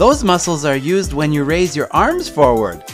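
With music running underneath, a man speaks at an even, moderate speed. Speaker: English teacher. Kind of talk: scripted English conversation dialogue.

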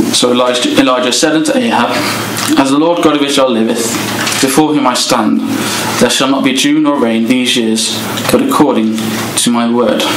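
Over noticeable background noise, a man talks at a fairly quick pace with fairly even intonation. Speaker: speaker. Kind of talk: sermon.

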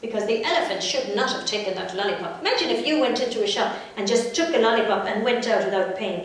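The delivery is a natural reading voice with lively intonation.

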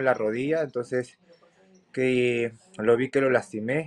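A man's medium-pitched voice with fairly even intonation at a moderate pace. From Peru. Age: 20s. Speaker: MMA fighter; interviewee. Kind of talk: interview. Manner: halting. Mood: confident, determined. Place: home room. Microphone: video call.

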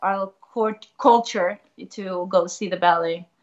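This is a woman speaking with a Spanish accent. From Argentina, Buenos Aires. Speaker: ballet dancer. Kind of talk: casual chat. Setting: video call.

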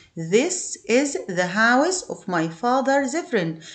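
A woman with an Egyptian accent speaks at a high pitch with very wide pitch swings, in a room with audible echo. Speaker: English teacher. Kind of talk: lesson for primary school pupils. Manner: repetitive, slow drilling.

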